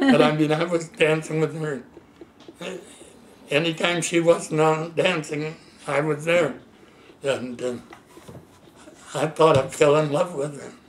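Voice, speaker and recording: A man with a fairly high pitch talks at a fairly slow pace, leaving long, frequent pauses. His intonation is monotone and flat, and background noise is noticeable. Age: 80s+. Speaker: elderly man recounting his life. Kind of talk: casual chat. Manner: halting.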